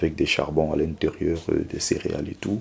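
Very deep, low male voice, fairly slow in pace. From Cameroon. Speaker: former migrant, author. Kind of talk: testimony. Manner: halting. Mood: grave, emotional retelling. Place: studio.

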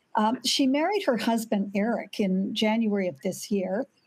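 A woman speaks at a fairly slow pace in a fairly high, somewhat breathy voice. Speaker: domestic violence expert; speaker. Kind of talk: panel discussion. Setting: virtual event. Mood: serious, somber. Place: home room.

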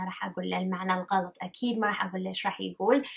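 A woman speaks in an Iraqi accent. Behind her the background is quiet. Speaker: channel host. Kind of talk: casual talk to camera. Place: home room.

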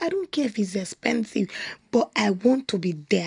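A woman talks at a moderate pace in a dry sound with no echo, over a quiet background. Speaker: vlogger. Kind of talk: casual vlog chat. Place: car. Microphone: phone near.

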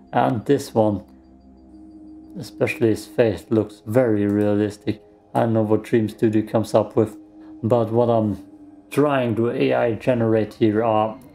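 Faint music plays behind a man who speaks at a fairly slow pace. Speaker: content creator. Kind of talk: casual commentary. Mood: amused, joking. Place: home room.

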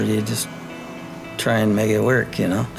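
A man speaks at a fairly low pitch. Clear music plays in the background. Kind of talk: interview answer. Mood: relaxed, fond recollection. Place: home room.

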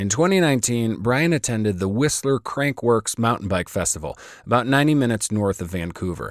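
Over a quiet background, a man speaks at a moderate pace with lively intonation, the sound dry with no echo. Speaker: podcast host, narrator. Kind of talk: narration.

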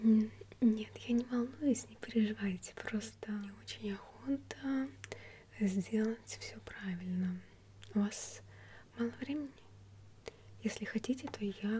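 Soft-spoken and very slow, a woman talks with long, frequent pauses over light background noise. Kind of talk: soft-spoken role-play, ASMR style. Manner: soft, quiet ASMR speaking voice. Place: home room.

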